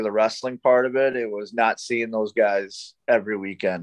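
Against a quiet background, a man talks at a moderate pace with monotone, flat intonation. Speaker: professional wrestler. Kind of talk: casual interview chat. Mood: relaxed, amused. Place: home room. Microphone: video call.

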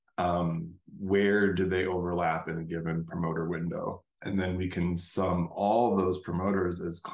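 The voice moves at a fairly slow pace in a flat monotone. Room echo is clearly audible. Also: man. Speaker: instructor. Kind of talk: lecture. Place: home room. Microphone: webcam.

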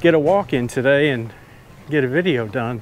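The sound is dry with no echo and light background noise, and the speech moves at a moderate pace with lively intonation. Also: man. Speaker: walking vlogger. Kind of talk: casual vlog storytelling. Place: street. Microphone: phone near.

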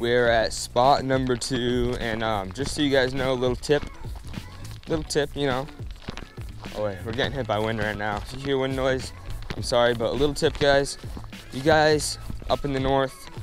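A man talks at a moderate pace with fairly even intonation, pausing long and often. The sound is dry with no echo, and faint music plays in the background. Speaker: fishing vlogger. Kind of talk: casual vlog chat. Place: open country. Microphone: lapel.

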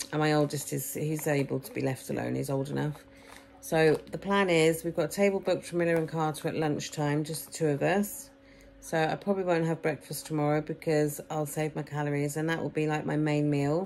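A woman speaks with an English accent at a fairly quick pace. Her pitch is very deep and low, her intonation fairly even, with light background noise. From England. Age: 40s. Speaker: vlogger documenting weight loss. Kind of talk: casual vlog to camera. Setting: at home with children around. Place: home room. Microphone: phone near.

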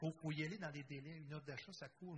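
A man talks fairly quickly, somewhat breathy, with fairly even intonation. Noticeable background noise is present. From Quebec. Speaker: cooperative federation director; panelist. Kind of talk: conference panel discussion. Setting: conference room with live and online audience. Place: hall. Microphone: handheld.

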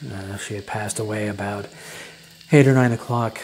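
Clear music plays in the background as a man with a fairly low pitch talks at a fairly quick pace with fairly even intonation. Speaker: storyteller. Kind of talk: casual storytelling to camera. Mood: reflective, wistful. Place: home room. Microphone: lapel.

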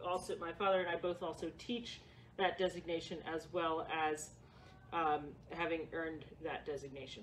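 A woman talks over faint noise in the background. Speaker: presenter. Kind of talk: workshop presentation. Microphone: camera far.

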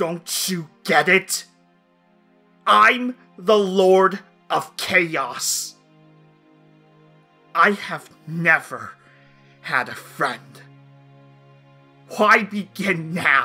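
In a put-on character voice at middle pitch, the speaker moves at a very slow pace with long, frequent pauses while faint music plays in the background. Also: female-sounding voice.

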